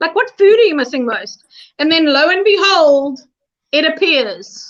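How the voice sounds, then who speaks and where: A loud woman's voice at an extremely high pitch, with very wide pitch swings. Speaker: reality show contestant. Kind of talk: casual chat.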